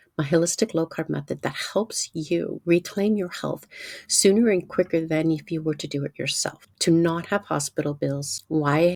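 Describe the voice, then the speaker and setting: A woman speaks in a fairly low voice with vocal fry and ordinary pitch variation. The sound is dry and close, with no echo. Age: 60s. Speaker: nutrition coach. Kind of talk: sales pitch. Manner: animated.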